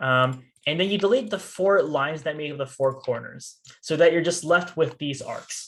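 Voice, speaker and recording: His pitch fairly high, a man speaks with ordinary pitch variation. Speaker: student robotics team workshop instructor. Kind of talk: tutorial. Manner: fast.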